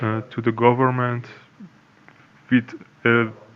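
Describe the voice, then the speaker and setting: A man talks at a very slow pace with monotone, flat intonation. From Iran. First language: Persian. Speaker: anonymous insider. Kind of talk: interview. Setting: video call, camera off. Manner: halting, many fillers.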